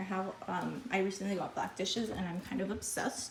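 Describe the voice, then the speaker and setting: Against noticeable background noise, a woman speaks at a fairly slow pace in a medium pitch. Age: 20s. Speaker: lifestyle vlogger. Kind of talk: home tour vlog. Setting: at home. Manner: casual, filler-heavy.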